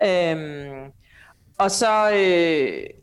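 A woman speaks with a fairly low pitch. Her intonation is fairly even. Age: 40s. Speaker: author and family policy debater. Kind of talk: interview. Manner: hesitant, many filler sounds.

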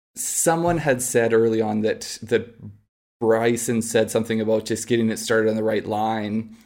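In a Canadian accent, an ordinary speaking voice proceeds at a moderate pace with fairly even intonation on a very clean recording with a silent background. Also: man. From Canada. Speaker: golf podcast co-host. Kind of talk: casual chat.

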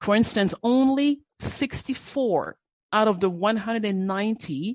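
Lively intonation runs through this woman's speech, which has a non-native accent. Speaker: gender and social inclusion specialist. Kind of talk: interview.

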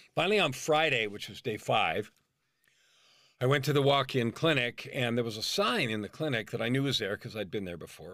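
A man with a medium pitch and a bright, sharp tone speaks very fast with lively intonation. The recording is very clean, with a silent background. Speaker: life coach and author. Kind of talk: interview testimony.

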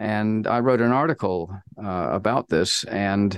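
A man with an American accent and a fairly low pitch, at a very slow pace, in a dry, close sound with no echo against a quiet background. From New Zealand. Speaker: climate scientist. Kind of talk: interview.

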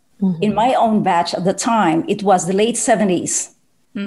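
A woman talks at a medium pitch with ordinary pitch variation. Her voice is somewhat breathy. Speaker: poet and soprano singer. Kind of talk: casual interview conversation.

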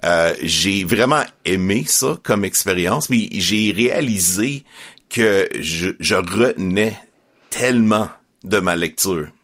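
A man at a very slow pace with very even loudness. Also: fairly low pitch for a man, ordinary pitch variation. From Quebec, Estrie. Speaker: Bible narrator and podcast co-producer. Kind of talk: interview.

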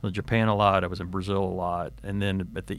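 Very deep and low, a man's voice carries vocal fry and an American accent. He speaks at a very fast pace. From Texas. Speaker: retired corporate finance executive. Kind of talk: interview.

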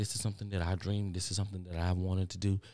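A man with an American accent, very deep, low pitch, dark, mellow tone and monotone, flat intonation, on a very clean recording with a silent background. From Texas. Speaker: podcast host. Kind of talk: motivational monologue. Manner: fast talker; casual, repetitive.

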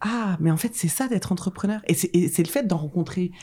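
A woman's somewhat breathy voice, dark and mellow in tone, fairly quick, with ordinary pitch variation. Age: 30s. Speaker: event agency founder. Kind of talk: casual interview chat.

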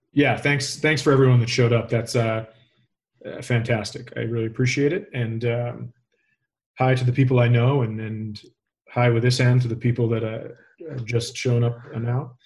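With a medium pitch and a somewhat breathy quality, a man speaks at a moderate pace in a monotone, flat intonation. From Minnesota. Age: 40s. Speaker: comedian. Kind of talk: interview.

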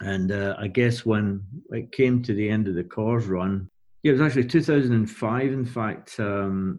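A man with a Glaswegian accent speaks at a moderate pace and fairly low pitch with ordinary pitch variation over a quiet background. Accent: Glaswegian Scottish. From Scotland, Glasgow area. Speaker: music tour and artist manager. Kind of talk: casual interview.

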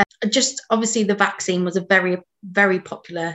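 This woman's fairly low voice moves along at an unhurried, moderate speed. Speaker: webinar moderator and events manager. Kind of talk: moderated panel Q and A. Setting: online webinar recording.

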